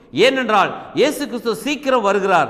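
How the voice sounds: Fairly quick and lively, a man talks in a high pitch with a fairly bright tone.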